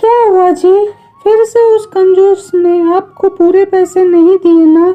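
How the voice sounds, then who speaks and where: Using a cartoonish character voice, a woman speaks at an extremely high pitch and a fairly slow pace, her intonation monotone and flat, her loudness very even. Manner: outspoken.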